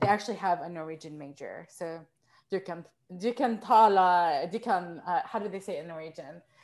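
A plain, everyday voice speaks with an American accent at a moderate pace. Pitch varies in an ordinary way, while loudness swings widely. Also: woman, fairly low pitch for a woman. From Texas. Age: 30s. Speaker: composer. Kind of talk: casual chat. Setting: video call.

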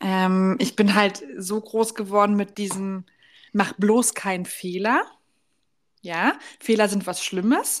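At a very slow pace, a woman speaks with a medium pitch. Her intonation stays fairly even. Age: 20s. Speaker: podcast co-host. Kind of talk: casual chat.

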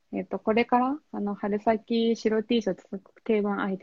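In a somewhat breathy voice, a woman talks at a moderate pace. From Japan, Oita Prefecture (Kyushu). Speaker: fashion influencer. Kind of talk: interview.

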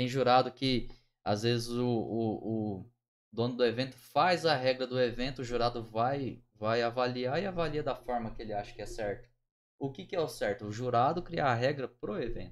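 Here is a man with an unremarkable speaking voice at medium pitch and a moderate pace. His pitch variation is ordinary. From Minas Gerais, Pouso Alegre. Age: 30s. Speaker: tattoo artist. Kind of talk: casual chat.

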